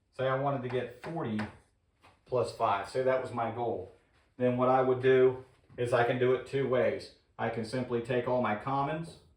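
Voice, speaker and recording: There is audible room echo around this man's voice. He speaks at a moderate pace with a medium pitch and fairly even intonation. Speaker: HVAC instructor. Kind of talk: tutorial.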